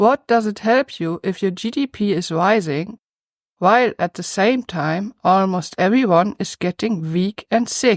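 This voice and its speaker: A woman talks in a German accent at a medium pitch. The recording is very clean with a silent background, dry and close with no echo. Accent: German accent, noticeable. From Germany. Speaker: YouTube commentator. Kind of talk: scripted commentary.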